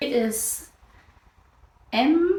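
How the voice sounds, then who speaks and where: Woman's voice with a German accent, dark, mellow tone, lively intonation and audible room echo. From Germany. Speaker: crafts podcaster. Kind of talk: casual chat. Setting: on camera.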